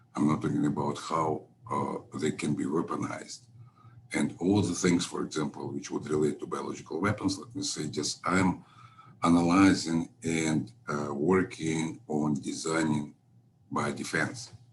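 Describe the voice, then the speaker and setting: With ordinary pitch variation and a moderate pace, a man speaks in a very deep, low voice while noticeable noise runs in the background. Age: 70s. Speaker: scientist, former physician. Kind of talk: interview. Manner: halting, many fillers.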